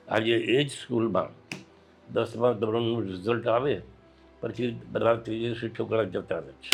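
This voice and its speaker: Music plays in the background as a man speaks. His loudness swings widely. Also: medium pitch for a man, ordinary pitch variation. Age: 80s+. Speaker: retired school principal and educationist. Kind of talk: interview answer.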